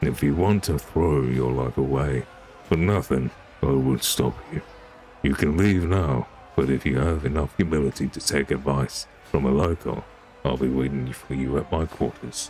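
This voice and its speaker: Growling put-on character voice from a man, very deep and low, moderate pace, clear background noise. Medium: virtual streamer. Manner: gruff, clipped, menacing.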